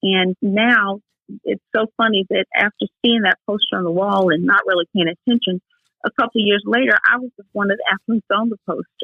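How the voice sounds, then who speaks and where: Speaking at a fairly quick pace, a woman with medium pitch and fairly even intonation has an unremarkable speaking voice. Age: 60s. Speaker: Air Force veteran with MS, wheelchair athlete. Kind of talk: podcast interview.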